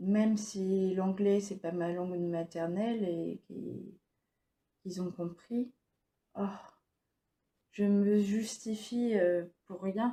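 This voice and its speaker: The voice has a dark, mellow tone and fairly even intonation. It moves at a very slow pace with long, frequent pauses. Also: woman, medium pitch for a woman. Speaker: stroke survivor and vlogger. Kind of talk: personal vlog monologue. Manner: halting, many hesitations; speech wavers.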